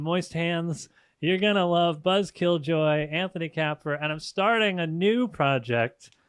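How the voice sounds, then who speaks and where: The speaker is a man with a fairly high pitch. He talks at a fairly slow pace in an ordinary speaking voice. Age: 30s. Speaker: comedian and musician. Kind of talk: casual chat.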